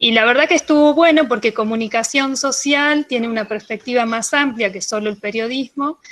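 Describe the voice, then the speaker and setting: A woman speaks in a normal speaking voice with a fairly high pitch and ordinary pitch variation. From Argentina, Bariloche (Patagonia). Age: 40s. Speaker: radio producer of children's content. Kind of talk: interview, casual explanation.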